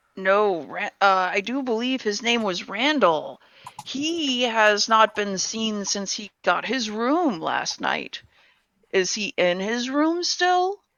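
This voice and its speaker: A put-on character voice, female-sounding and fairly high, moves at a fairly slow pace. Its pitch swings very widely. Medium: actual play.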